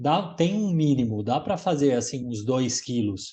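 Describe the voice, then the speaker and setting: Speaking at a very slow pace, a man with a fairly high pitch uses lively intonation, his tone dark, mellow and somewhat breathy. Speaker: gelato instructor. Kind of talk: casual chat.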